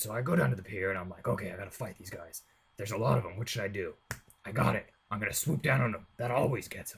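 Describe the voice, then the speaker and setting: A put-on character voice, raspy and delivered at a very fast pace, with big swings in loudness. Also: man, fairly low pitch for a man. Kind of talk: comic parody. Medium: voice reel. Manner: rambling, casual, full of filler words.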